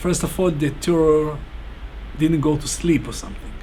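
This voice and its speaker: With an Israeli accent, a man talks at a moderate pace amid noticeable background noise and audible room echo. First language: Hebrew. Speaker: bomb security instructor. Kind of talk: interview. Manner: halting.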